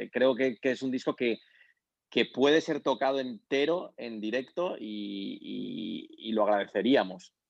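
This man has an ordinary speaking voice, medium in pitch, with ordinary pitch variation and a fairly slow pace. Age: 40s. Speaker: concert promoter. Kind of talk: casual chat. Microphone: robotic-sounding line.

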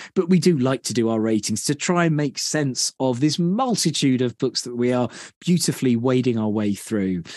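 A man with a British accent is heard against a quiet background, the sound dry and close with no echo. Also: medium pitch for a man, lively intonation, moderate pace. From Britain. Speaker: podcast host. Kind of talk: casual chat.

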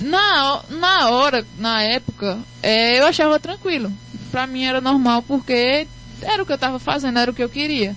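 Against noticeable background noise, a woman talks in a high voice. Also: lively intonation, moderate pace. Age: 20s. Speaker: singer. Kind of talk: interview. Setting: radio studio.

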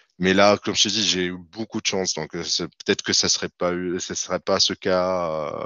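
This man speaks with a very deep, low pitch. His intonation is monotone and flat, at a moderate pace. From Tunisia, Tunis. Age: 30s. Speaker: freelance IT developer. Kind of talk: interview.

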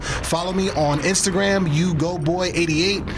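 A man with an American accent, audible room echo, and music in the background. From East Orange, New Jersey. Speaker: podcast host and MC. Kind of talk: casual interview. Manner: animated.

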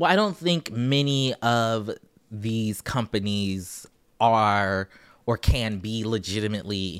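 A man with an American accent and an unremarkable speaking voice talks at a fairly low pitch with ordinary pitch variation, in a dry, close sound with no echo. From US South, Charleston, South Carolina. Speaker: journalist. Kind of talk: casual chat.

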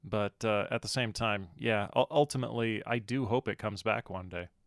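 A man speaks in a normal speaking voice at a moderate pace with fairly even intonation, in a very clean, dry, close recording with a silent background and no echo. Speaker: podcast host. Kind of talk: casual chat. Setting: live stream.

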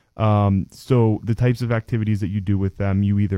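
A man with an American accent, fairly low in pitch, dark and mellow in tone, at a fairly quick pace, in a dry, close sound without echo. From Pennsylvania (DuBois). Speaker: nonprofit youth program worker. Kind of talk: interview.

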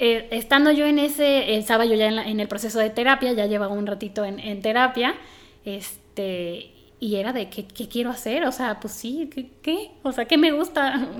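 Speaking at a moderate pace in a Mexican accent, a woman uses a fairly high pitch with ordinary pitch variation. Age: 30s. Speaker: environmental engineer turned soap entrepreneur. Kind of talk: casual chat. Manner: animated.

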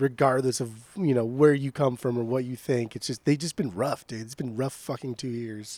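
Speaking in a plain, everyday voice, a man talks at a moderate pace and medium pitch with ordinary pitch variation and hardly any pauses. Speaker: podcast co-host. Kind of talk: casual chat. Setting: remote call.

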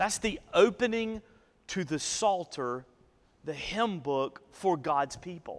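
Speaking at a very slow pace in a Southern US accent, a man uses a high pitch and lively intonation. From northeast Alabama, US South. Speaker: pastor. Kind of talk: sermon.

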